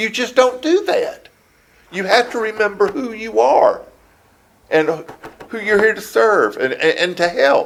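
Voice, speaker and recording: A man with a coastal Georgia accent, pausing long and often. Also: fairly slow pace. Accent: Southern US (coastal Georgia). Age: 70s. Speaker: city council member being interviewed by investigators. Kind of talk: investigative interview. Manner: halting, with fillers and restarts.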